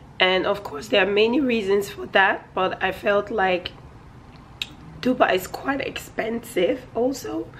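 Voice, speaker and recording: A woman speaks at a medium pitch with ordinary pitch variation and a fairly slow pace. There is noticeable background noise. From Nigeria. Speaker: vlogger. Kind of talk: casual vlog chat. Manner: loud, straining.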